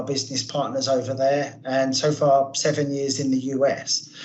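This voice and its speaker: Over noticeable background noise, a man with a British accent talks at a moderate pace in a fairly high pitch. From UK. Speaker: product manager. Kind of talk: webinar presentation. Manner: halting.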